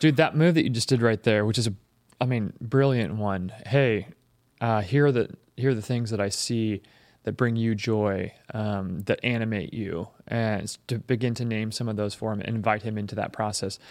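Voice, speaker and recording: An ordinary speaking voice from a man, moderate in pace with ordinary pitch variation, in a very clean recording over a silent background. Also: medium pitch for a man. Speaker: podcast host. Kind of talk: casual chat.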